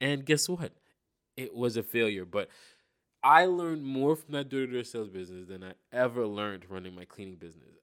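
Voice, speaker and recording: In a very clean recording with a silent background, a plain, everyday voice carries lively intonation. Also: man, medium pitch for a man. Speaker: podcast host. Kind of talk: casual solo monologue.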